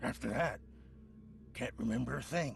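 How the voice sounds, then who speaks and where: A man puts on a raspy character voice at a moderate pace. Clear background noise runs underneath. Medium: video game. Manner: defensive, halting.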